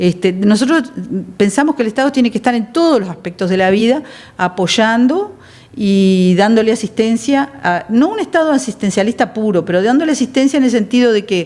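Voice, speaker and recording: A woman with a Uruguayan accent, fairly high-pitched, at a fairly quick pace with lively intonation. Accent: Uruguayan Spanish (rioplatense). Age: 60s. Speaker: politician. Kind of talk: TV interview.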